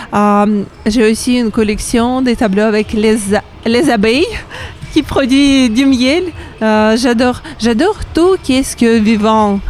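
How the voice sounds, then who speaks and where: Amid noticeable background noise, a woman with a Ukrainian accent speaks at a very slow pace with ordinary pitch variation. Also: fairly high pitch for a woman. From Ukraine, Kharkiv. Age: 30s. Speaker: painter. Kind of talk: interview. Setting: radio stand at a trade fair. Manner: halting, many hesitations.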